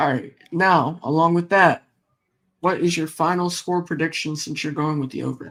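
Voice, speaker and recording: A man with an unremarkable speaking voice talks at a moderate pace, with a fairly high pitch and fairly even intonation. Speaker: sports YouTuber. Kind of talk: casual sports chat.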